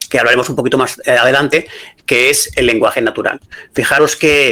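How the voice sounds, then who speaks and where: A fairly high-pitched male voice, flat and monotone in its intonation. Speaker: AI consultant and business school lecturer. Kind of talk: lecture. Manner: fast.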